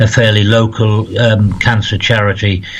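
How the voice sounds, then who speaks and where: A man is speaking amid noticeable background noise. The room echo is audible. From northeast England, County Durham. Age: 60s. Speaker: spiritual medium. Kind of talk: interview.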